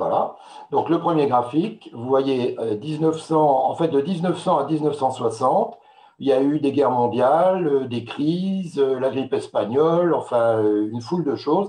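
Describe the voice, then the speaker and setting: A man speaks fairly slowly at a fairly high pitch in a dark, mellow tone. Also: ordinary pitch variation. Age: 60s. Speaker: wine marketing expert. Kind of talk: webinar presentation. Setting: online webinar with slides. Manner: hesitant, many filler sounds.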